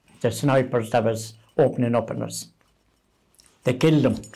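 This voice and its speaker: A man speaks with a Limerick accent in a dark, mellow tone. Vocal fry runs through his voice. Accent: Irish (Limerick). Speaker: retired army sergeant, UN peacekeeping veteran. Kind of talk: interview answer, war memories.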